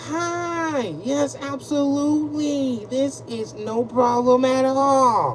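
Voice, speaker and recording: A female-sounding put-on character voice, high in pitch, at a very slow pace over clear background noise. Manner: overly sweet, polite.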